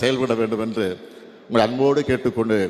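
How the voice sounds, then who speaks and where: Monotone, flat intonation from a man, with noticeable background noise. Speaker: politician, former chief minister. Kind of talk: speech at a wedding function. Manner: emotional.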